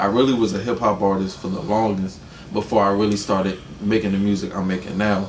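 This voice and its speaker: Very fast speech with a slight Atlanta accent and fairly even intonation comes through audible room echo and noticeable background noise. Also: man, fairly low pitch for a man. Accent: slight Atlanta accent on certain words. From Atlanta, US South. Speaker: rapper. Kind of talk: casual interview.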